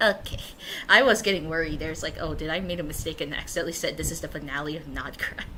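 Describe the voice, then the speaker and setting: Pitched fairly low with ordinary variation, a woman talks very fast in an animated tone. Audible room echo surrounds her voice. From Asia. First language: not English. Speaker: gaming streamer. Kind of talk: casual let's-play commentary.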